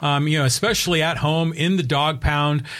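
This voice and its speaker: On a very clean recording with a silent background, a man with a plain, everyday voice speaks at a fairly high pitch and a fairly quick pace. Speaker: co-host. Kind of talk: sports talk show banter.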